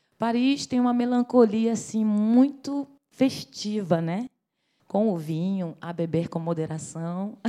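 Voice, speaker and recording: Very slow and medium in pitch, a woman speaks with a dark, mellow tone and lively intonation. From Brazil, Rio de Janeiro. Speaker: singer. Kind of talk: interview. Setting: at home.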